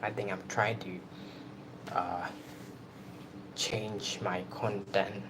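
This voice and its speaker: Amid noticeable background noise and audible room echo, a man with a Burmese accent speaks very slowly in a fairly low pitch, with long, frequent pauses. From Myanmar. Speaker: YouTuber. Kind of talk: casual live stream chat. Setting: live stream at night in room. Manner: halting.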